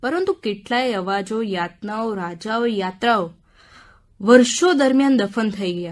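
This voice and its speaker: A woman has a normal speaking voice, fairly high in pitch with ordinary pitch variation. The recording is very clean, with a silent background. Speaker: radio book-review presenter. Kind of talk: radio book review narration. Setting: radio studio.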